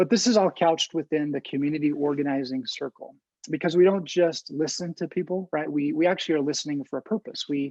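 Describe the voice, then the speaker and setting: The pace is very fast. Music can be heard in the background. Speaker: community development trainer. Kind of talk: presentation.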